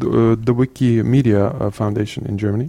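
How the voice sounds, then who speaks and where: This man's voice has a dark, mellow tone. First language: Norwegian. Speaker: CTO of an educational resources organisation. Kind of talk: interview. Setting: in person in Oslo. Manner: halting.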